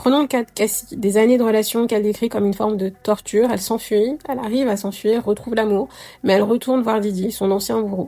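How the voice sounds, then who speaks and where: A woman speaks at a very fast pace with a fairly high pitch. Noticeable background noise sits behind her. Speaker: astrology youtuber. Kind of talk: commentary monologue. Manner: hesitant, many fillers.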